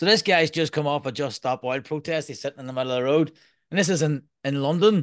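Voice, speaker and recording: Very fast speech from a man with ordinary pitch variation sounds dry and close with no echo over a quiet background. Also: fairly high pitch for a man. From Ireland. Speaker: podcast host and permaculture designer. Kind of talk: casual interview.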